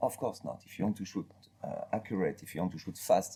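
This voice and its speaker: A man with a French accent speaks in a somewhat breathy, dark and mellow voice at a fairly low pitch. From France. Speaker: master gunsmith. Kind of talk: interview about products. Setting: retail store.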